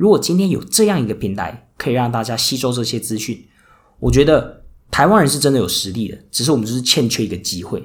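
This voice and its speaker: A man talks at a very fast pace with lively intonation. His voice sits at medium pitch and sounds somewhat breathy. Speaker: podcast host and casino worker. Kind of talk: solo podcast monologue. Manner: many filler words.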